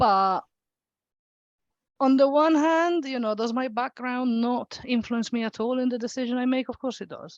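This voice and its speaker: A woman talks at a moderate pace with an Italian accent and a fairly high pitch. The sound is dry and close with no echo, over a quiet background. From Italy. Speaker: local politician. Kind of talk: panel discussion. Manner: hesitant, many fillers.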